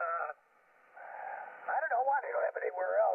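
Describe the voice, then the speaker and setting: Noticeable background noise surrounds the voice. It is a man speaking. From New Mexico. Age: 70s. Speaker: amateur radio operator. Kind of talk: ham radio conversation. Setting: radio contact.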